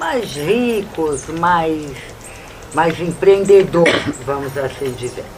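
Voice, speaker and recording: Over noticeable background noise and audible room echo, a woman with a fairly low pitch talks at a very slow pace with lively intonation. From Brazil, Sergipe (Northeast). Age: 60s. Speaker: Romani spiritual leader. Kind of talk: documentary interview.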